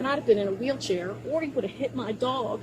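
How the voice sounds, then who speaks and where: The voice moves at a fairly quick pace with lively intonation. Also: woman. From Baltimore, US. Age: 60s. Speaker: driver questioned by police. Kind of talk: police encounter. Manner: animated.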